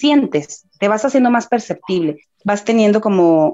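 A woman of medium pitch talks at a moderate pace with lively intonation. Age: 30s. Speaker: spiritual medium. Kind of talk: casual interview.

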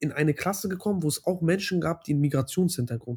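The man's fairly quick delivery is somewhat breathy, and his pitch varies in an ordinary way. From Hamburg, Germany. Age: 20s. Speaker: doctoral student. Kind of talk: interview.

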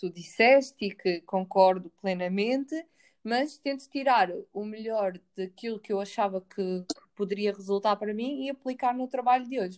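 Moderate tempo, ordinary pitch variation, an ordinary speaking voice. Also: woman. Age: 20s. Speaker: podcast co-host. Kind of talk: casual chat.

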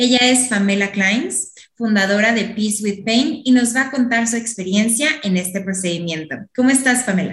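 The woman's voice is fairly high-pitched and somewhat breathy. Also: ordinary pitch variation, moderate pace. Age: 20s. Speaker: podcast host. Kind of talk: interview; scripted intro.

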